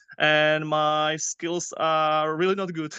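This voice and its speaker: Very slowly, a man with a Czech accent speaks in a fairly high pitch. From Czech Republic, near Prague. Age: 30s. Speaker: youth soccer coach. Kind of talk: interview. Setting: podcast. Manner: halting, many fillers.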